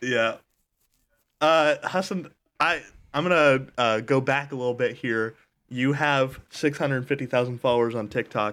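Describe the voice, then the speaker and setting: Speaking at a moderate pace with long, frequent pauses, this man uses a medium pitch and ordinary pitch variation. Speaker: podcast host. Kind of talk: casual comedic chat.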